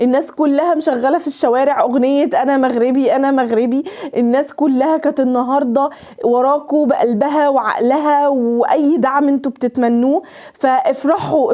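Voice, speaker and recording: Over noticeable background noise, a woman with a high voice speaks at a moderate pace in an animated tone, her pitch varying in an ordinary way and her loudness very even. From Egypt. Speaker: YouTuber. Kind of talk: emotional direct-to-camera address. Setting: unplanned handheld camera recording. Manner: halting, frequent stutters and restarts; animated, impassioned.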